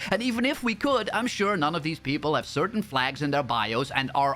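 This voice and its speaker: His tone is bright and sharp. The man speaks with a non-native accent. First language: not English. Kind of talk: commentary video.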